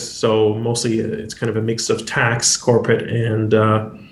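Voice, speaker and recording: A man speaks at a medium pitch. The recording has audible room echo and noticeable background noise. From Quebec. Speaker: lawyer and legal tech founder. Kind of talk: panel discussion. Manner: halting, many fillers.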